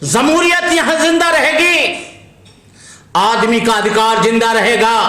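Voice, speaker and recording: A man speaks in a raised, projected voice at an extremely high pitch, with very wide pitch swings. Noticeable background noise and audible room echo surround him. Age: 70s. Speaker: Buddhist monk. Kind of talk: speech to lawyers. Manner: animated.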